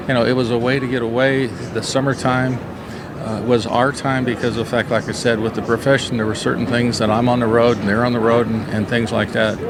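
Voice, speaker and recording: A man's monotone, flat delivery at a fairly quick pace, with audible room echo and noticeable background noise. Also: medium pitch for a man. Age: 60s. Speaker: softball coach. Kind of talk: interview. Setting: coaches convention.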